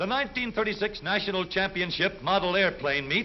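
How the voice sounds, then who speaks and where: Over music in the background, a man speaks at a moderate pace in a high pitch with ordinary pitch variation. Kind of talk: newsreel narration.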